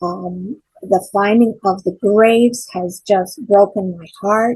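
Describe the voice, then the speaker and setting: Very slowly and somewhat breathily, a woman speaks at medium pitch with a dark, mellow tone, fairly even intonation and big swings in loudness. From Ontario, Canada (Port Perry). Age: 70s. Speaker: church member and event organizer. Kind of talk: interview. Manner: halting.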